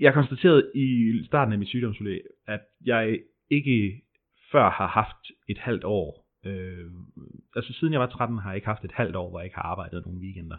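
A man with a fairly low pitch talks at a moderate pace with lively intonation, big swings in loudness, and long, frequent pauses. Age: 30s. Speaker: furniture maker recovering from stress. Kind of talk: personal testimony interview. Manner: hesitant, many fillers.

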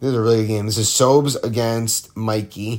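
The speaker is a man with medium pitch. He talks in a monotone, flat intonation. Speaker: podcast host of amateur football league show. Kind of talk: solo sports recap monologue. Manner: casual with frequent filler ums; relaxed, lying down near the end.

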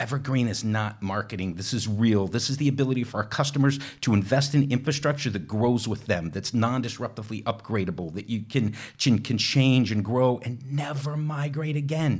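A man speaks in an enthusiastic, animated tone at a fairly quick pace. He leaves hardly any pauses and uses ordinary pitch variation. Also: medium pitch for a man. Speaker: technical evangelist. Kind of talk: casual interview chat.

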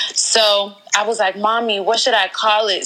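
A woman with an American accent speaks against noticeable background noise. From Georgia, US South. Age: 20s. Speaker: blogger and entrepreneur. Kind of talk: interview.

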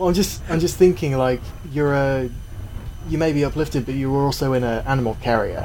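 There is noticeable background noise behind this man. He speaks fairly fast at a fairly high pitch with ordinary pitch variation. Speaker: player in a tabletop roleplaying game. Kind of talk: casual tabletop roleplaying game session. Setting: remote online recording.

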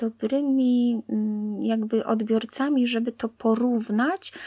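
Speaking at a very slow pace, a woman with a fairly high pitch, fairly even intonation and a dark, mellow tone is heard in a dry, close sound with no echo on a very clean recording with a silent background. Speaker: blind interviewee sharing life story. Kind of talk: interview, personal testimony.

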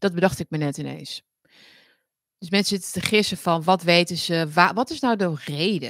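A woman's fairly low voice at a moderate pace, with ordinary pitch variation and big swings in loudness. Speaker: political commentary livestream host. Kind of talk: casual livestream monologue.

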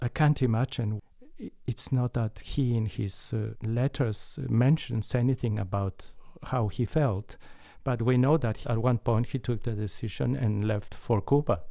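The recording is very clean, with a silent background. A man speaks at medium pitch in a dark, mellow tone with ordinary pitch variation. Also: fairly slow pace. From Mexico. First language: Spanish. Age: 70s. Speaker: concert pianist. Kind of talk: interview conversation. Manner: warm, laughs often.

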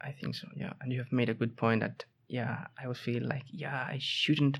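A man's fairly slow delivery with vocal fry. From southern Spain, Seville. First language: Spanish. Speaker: master's student. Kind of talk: casual interview. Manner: halting, many repetitions.

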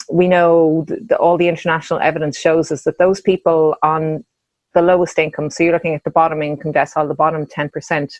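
A woman with a fairly low pitch talks at a fairly quick pace in a monotone, flat manner. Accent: Irish. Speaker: policy researcher. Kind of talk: panel discussion.

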